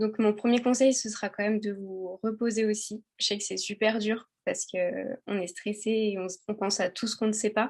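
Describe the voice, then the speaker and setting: Spoken at a moderate pace with monotone, flat intonation, the voice sits on a quiet background. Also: woman, fairly high pitch for a woman. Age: 20s. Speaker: exam graduate giving advice. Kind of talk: casual chat. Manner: hesitant, many fillers.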